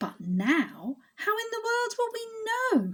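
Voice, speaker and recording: A woman does a squeaky put-on character voice at an extremely high pitch and a very slow pace. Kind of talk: bedtime story. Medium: read story. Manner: snobbish, bragging.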